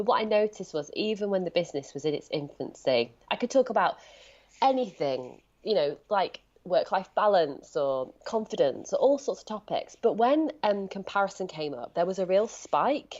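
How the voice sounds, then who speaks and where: A woman with a Leeds accent speaks with very wide pitch swings. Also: medium pitch for a woman, moderate pace. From northern England, Leeds. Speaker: life coach. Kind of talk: podcast interview.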